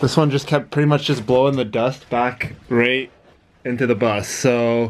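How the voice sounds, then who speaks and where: Fairly slow, fairly even male speech. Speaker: bus conversion vlogger. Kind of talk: casual vlog chat. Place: bus. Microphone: phone near.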